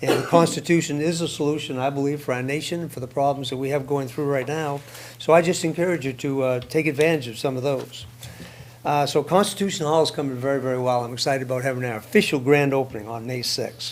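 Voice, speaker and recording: Talking at a very fast pace, a man uses a fairly high pitch. His intonation stays fairly even, with audible room echo around him. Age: 70s. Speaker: public commenter at a city council meeting. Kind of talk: public comment speech. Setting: city council meeting.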